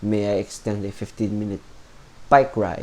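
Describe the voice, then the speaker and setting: This is a man's voice, fairly low in pitch. His tone is dark and mellow. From Philippines. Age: 20s. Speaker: vlogger. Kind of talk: unscripted monologue. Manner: halting.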